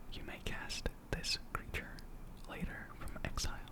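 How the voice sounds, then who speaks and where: Whispering at a very slow pace, the voice sits against noticeable background noise. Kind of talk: ASMR card-opening reading. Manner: whispered.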